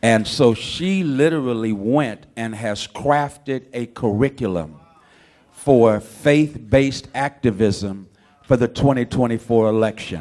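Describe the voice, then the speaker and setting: A man speaks fairly slowly in a normal speaking voice, his medium pitch carrying ordinary pitch variation. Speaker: conference host. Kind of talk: introduction speech at conference.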